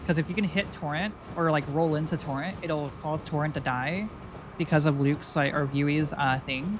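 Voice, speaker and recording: A woman speaks with a very deep, low pitch and fairly even intonation. Noticeable background noise is present. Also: moderate pace. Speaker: video game streamer. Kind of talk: live gameplay stream commentary. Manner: stumbles over words; casual, hesitant with fillers.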